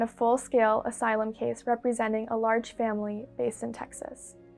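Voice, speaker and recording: Over music in the background, a woman speaks fairly high at a fairly quick pace. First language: Farsi. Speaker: lawyer. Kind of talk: testimonial interview.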